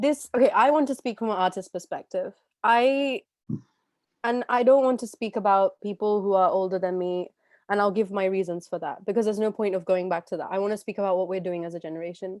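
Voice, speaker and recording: A woman with a London accent speaks at a very fast pace in an animated tone, her medium pitch showing ordinary variation in a dry, close sound with no echo. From London, England. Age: 20s. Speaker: talk show host and classical artist. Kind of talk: live interview conversation. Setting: live stream.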